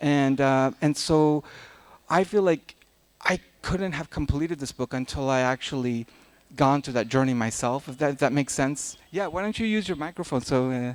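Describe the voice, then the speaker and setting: A man's fairly high voice at a moderate pace, with ordinary pitch variation. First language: Dari. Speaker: novelist. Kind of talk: literary festival talk. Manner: halting.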